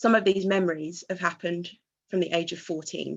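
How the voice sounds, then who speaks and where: Shaky and marked by vocal fry, a woman's fairly low voice moves at a moderate pace with monotone, flat intonation. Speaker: student union president. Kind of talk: speech at a vigil or rally. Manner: emotional, shaky.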